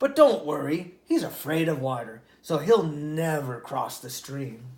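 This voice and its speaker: In a put-on character voice, the speaker rumbles at a middle pitch and a fairly slow pace. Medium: read story. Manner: scornful, grumbling.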